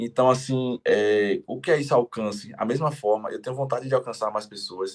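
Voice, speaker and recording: This is a man speaking at a medium pitch. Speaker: entrepreneur and strawberry seller. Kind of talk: podcast interview. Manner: fast.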